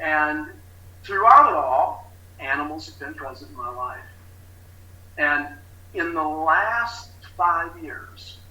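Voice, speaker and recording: A man with a fairly high pitch talks very slowly with long, frequent pauses and big swings in loudness, amid noticeable background noise and audible room echo. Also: lively intonation. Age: 60s. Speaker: recovery specialist. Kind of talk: testimony. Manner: halting.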